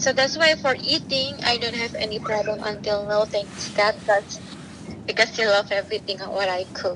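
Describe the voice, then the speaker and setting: Over noticeable background noise, a woman with an Indonesian accent talks at a moderate pace and fairly high pitch, with ordinary pitch variation. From Indonesia (Central Java). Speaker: stay-at-home mother. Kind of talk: interview.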